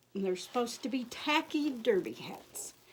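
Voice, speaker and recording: A woman with a Kentucky accent, at a fairly slow pace with ordinary pitch variation. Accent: Kentucky Southern. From Michigan until 15, then Kentucky. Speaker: crafter. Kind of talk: tutorial. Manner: casual, chatty.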